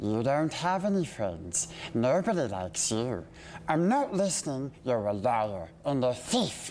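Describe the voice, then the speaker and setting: A put-on character voice with very wide pitch swings, a fairly slow pace and clear background noise. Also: man, medium pitch for a man. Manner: hissing, wheedling, agitated.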